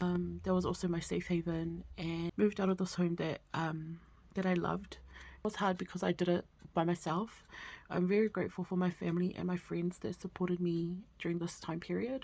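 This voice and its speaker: Speaking at a moderate pace, a woman has a dark, mellow tone, fairly low pitch, fairly even intonation and a somewhat breathy quality. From New Zealand, Auckland. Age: 30s. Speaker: budgeting vlogger. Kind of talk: casual vlog chat.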